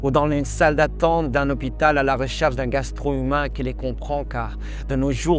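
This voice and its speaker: Music in the background and a moderate pace of speech. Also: man. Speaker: slam poet. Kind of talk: slam poetry performance.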